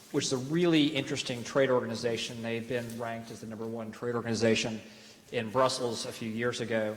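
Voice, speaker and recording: A man with an American accent talks at a fairly quick pace with fairly even intonation over noticeable background noise. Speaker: panel moderator. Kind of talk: panel introduction. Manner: halting, many fillers.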